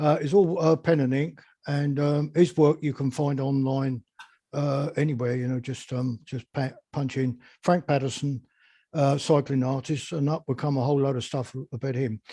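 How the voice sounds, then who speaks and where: A man speaks with a fairly high pitch and a dark, mellow, somewhat breathy tone. His pace is moderate and his intonation fairly even. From southern England, West Sussex. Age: 70s. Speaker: beekeeper. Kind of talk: interview. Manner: halting, many fillers.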